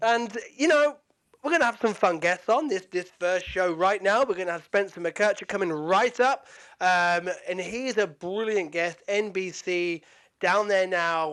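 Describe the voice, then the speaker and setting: A man with a British accent speaks at a high pitch in an animated tone. His pace is fairly slow, and the recording is very clean with a silent background. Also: ordinary pitch variation. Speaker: podcast host. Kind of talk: casual sports podcast chat. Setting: podcast, video.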